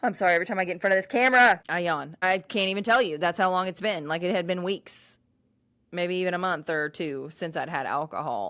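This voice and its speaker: A woman speaks loudly and very fast in a bright, sharp tone, her pitch fairly low and ordinarily varied, on a very clean recording with a silent background. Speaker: podcast host. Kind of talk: casual solo podcast rant. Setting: on camera at home. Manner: loud, outgoing; yawning at times.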